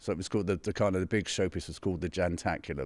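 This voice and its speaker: Speaking at a very fast pace, a man with a London accent has a very deep, low voice. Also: very clean recording, silent background. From West London, England. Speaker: pianist. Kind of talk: interview. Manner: halting.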